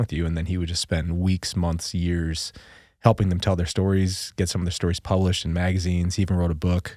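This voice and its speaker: A man speaks at a fairly quick pace. His voice is very deep and low, with a dark, mellow tone. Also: very clean recording, silent background. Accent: American. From Minnesota, US. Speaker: military veteran. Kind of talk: casual chat. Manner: animated.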